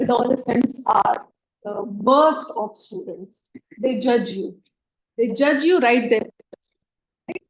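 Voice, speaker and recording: Soft-spoken and very slow, a woman with an Indian accent talks in a high pitch with lively intonation, the sound dry and close with no echo. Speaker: education technology trainer. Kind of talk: workshop talk.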